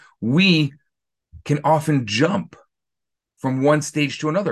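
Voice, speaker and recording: A fairly high-pitched male voice, somewhat breathy, with lively intonation. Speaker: rabbi teaching a class. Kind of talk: interactive lecture. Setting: video call.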